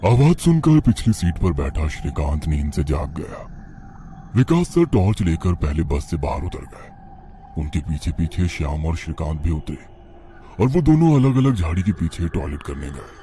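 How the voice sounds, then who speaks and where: A man performs a cartoonish character voice with a very deep, low pitch. He keeps a moderate pace over clear background noise. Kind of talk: horror story narration.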